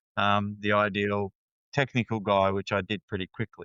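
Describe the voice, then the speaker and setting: A man with an Australian accent talks at a moderate pace. His fairly low voice stays monotone and flat. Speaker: counselor. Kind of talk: interview conversation. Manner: hesitant, many fillers.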